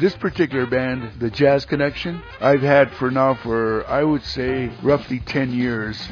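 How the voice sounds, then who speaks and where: With music in the background, a speaker with an American accent talks at a fairly slow pace with hardly any pauses and fairly even intonation. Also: man, medium pitch for a man. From Denver, Colorado. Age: 80s+. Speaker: jazz saxophonist. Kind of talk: interview. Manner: halting, many fillers.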